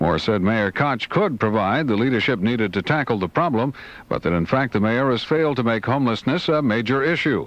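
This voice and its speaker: At a fairly quick pace and medium pitch, a man with an unremarkable speaking voice talks with lively intonation. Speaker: radio news reporter. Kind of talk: radio news report.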